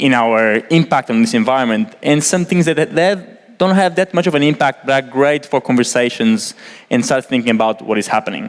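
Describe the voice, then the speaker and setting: At a fairly quick pace and with hardly any pauses, a man in a Portuguese accent speaks in a fairly high pitch with very wide pitch swings. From Portugal. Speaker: environmental engineer. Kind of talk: presentation. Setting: stage with audience. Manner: casual, many fillers.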